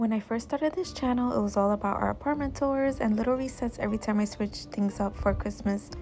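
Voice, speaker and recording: A woman with a fairly high pitch speaks at a fairly quick pace with ordinary pitch variation, music playing in the background. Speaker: lifestyle vlogger. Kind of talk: vlog voiceover. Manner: somewhat polished, commercial-sounding.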